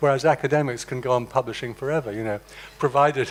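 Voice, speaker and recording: Noticeable background noise sits under the recording. A man at medium pitch talks at a very fast pace with fairly even intonation. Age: 70s. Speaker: retired professor and translator giving a public lecture. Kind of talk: public lecture. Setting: conference hall with audience. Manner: conversational, with frequent repetitions and fillers.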